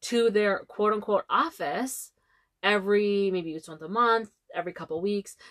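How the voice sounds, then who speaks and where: The speaker has a normal speaking voice. The pace is fairly slow and the intonation fairly even. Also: woman. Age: 30s. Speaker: travel podcast co-host. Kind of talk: casual chat.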